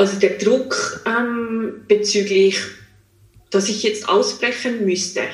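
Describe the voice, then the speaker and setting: A woman's fairly high voice, very slow and monotone with flat intonation, in audible room echo. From Switzerland, small village. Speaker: psychologist and coach. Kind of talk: interview. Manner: hesitant, many fillers.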